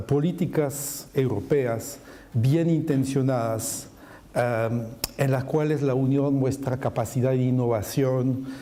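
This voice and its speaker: A man with a French accent talks at a very slow pace and medium pitch with ordinary pitch variation, with audible room echo. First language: French (speaking Spanish). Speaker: macroeconomist panelist. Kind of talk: conference presentation.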